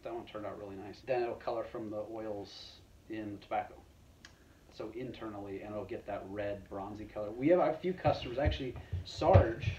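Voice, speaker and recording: Somewhat breathy and fairly low-pitched, a man speaks with big swings in loudness and ordinary pitch variation over noticeable background noise. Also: fairly quick pace. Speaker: guest. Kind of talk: casual conversation. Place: workshop. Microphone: camera far.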